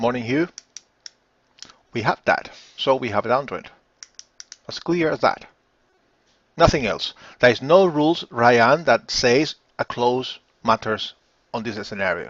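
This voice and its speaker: A man with a Spanish accent speaks fairly slowly at medium pitch, leaving long, frequent pauses. His intonation is lively. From Spain. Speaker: forex trading educator. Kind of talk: live webinar. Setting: live online stream.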